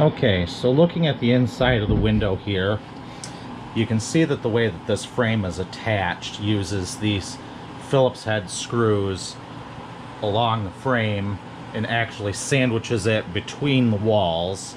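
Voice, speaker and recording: A man with a fairly low pitch speaks at a fairly slow pace with ordinary pitch variation. Noticeable background noise can be heard. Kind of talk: tutorial. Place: garage. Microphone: phone near.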